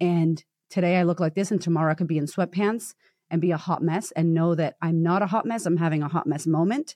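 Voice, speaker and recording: A woman's fairly low voice at a very fast pace, very even in loudness, over a quiet background. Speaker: confidence coach and speaker. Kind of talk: casual chat. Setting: video call. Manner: animated.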